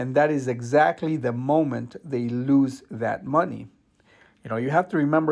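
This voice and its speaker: A man has an ordinary speaking voice, with a medium pitch and ordinary pitch variation. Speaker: investing youtuber. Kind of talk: tutorial.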